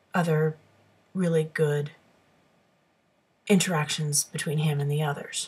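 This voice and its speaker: With a very deep, low pitch and a somewhat breathy voice, a woman speaks in a monotone, flat intonation at a fairly slow pace, leaving long, frequent pauses. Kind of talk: casual talk to camera. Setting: webcam microphone. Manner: hesitant, stammering.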